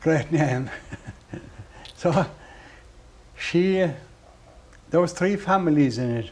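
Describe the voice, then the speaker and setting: A man with a west of Ireland accent talks at a fairly high pitch with ordinary pitch variation. His pace is very slow, with long, frequent pauses. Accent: west of Ireland (Clare) Irish. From Ireland, Doolin, County Clare. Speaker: traditional musician. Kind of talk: interview. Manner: halting.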